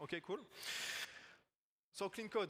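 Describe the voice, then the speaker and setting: With a French accent, a man speaks in a bright, sharp tone. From France. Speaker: agile technical coach. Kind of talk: conference talk. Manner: halting.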